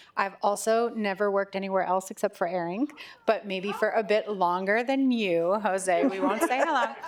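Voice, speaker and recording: Over noticeable background noise, the speech holds a very even loudness at a moderate pace with ordinary pitch variation. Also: woman, medium pitch for a woman. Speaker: business executive. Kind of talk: panel discussion.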